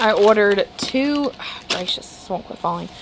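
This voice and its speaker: Light background noise behind a woman's moderately paced speech. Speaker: grocery haul vlogger. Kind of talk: casual vlog chat. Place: kitchen. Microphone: phone near.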